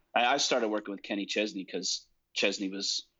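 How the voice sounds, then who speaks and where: A man talks at a fairly quick pace in a plain, everyday voice. His pitch is fairly low and his intonation fairly even. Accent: American. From New Jersey. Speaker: recording and mix engineer. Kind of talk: casual interview.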